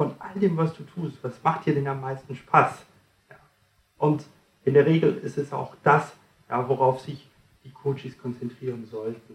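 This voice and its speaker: Talking at a fairly slow pace, a man with a fairly high pitch keeps his intonation fairly even. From France. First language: French (speaking German). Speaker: communication trainer and author. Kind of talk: interview, explaining coaching methods.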